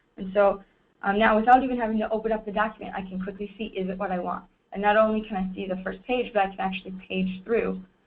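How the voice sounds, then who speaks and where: A woman speaks at a medium pitch and a very fast pace. Her intonation is monotone and flat. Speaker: software product presenter. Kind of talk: webinar product demo. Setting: webinar recording. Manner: casual, with fillers.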